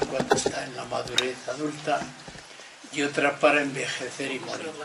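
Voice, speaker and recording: Amid noticeable background noise and audible room echo, a man talks at a fairly slow pace and fairly high pitch in a monotone, flat intonation. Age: 80s+. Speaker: lecturer on loneliness and ageing. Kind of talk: lecture.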